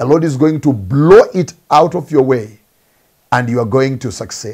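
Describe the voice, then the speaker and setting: A man with lively intonation over a quiet background. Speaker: preacher. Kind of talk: sermon. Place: office. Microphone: lapel.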